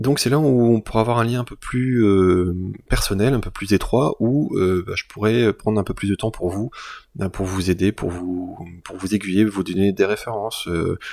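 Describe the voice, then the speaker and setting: A man talks at a moderate pace with ordinary pitch variation and a fairly low pitch. The recording is very clean, with a silent background. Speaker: YouTuber and illustrator. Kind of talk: channel announcement to viewers. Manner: halting, many fillers and repetitions; casual.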